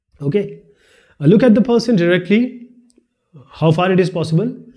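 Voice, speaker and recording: With audible room echo, a man talks at a moderate pace in a high pitch with a dark, mellow tone and very wide pitch swings. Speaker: teacher. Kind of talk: lecture. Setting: video recording.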